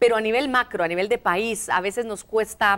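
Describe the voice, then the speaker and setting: Speaking at a fairly quick pace, a woman uses lively intonation in a plain, everyday voice. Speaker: TV show host. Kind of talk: TV interview.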